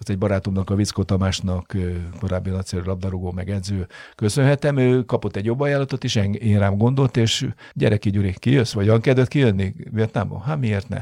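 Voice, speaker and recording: Fairly low in pitch, a man talks at a fairly quick pace with ordinary pitch variation. The sound is dry and close with no echo, and the recording is very clean with a silent background. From Hungary. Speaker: football coach. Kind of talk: interview. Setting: studio. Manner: halting.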